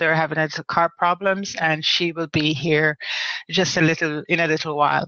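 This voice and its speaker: A woman talks with a Jamaican accent. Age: 50s. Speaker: online talk show host, women's group founder. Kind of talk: casual live-stream monologue. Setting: live video chat. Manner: halting, many fillers and repetitions.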